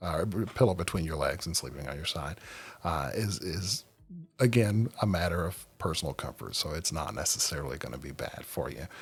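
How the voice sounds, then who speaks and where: In a very clean recording with a silent background, a man with a very deep, low pitch and vocal fry speaks at a moderate pace, his intonation lively and his loudness swinging widely. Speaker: sleep podcast host. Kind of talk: podcast monologue. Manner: halting, many fillers.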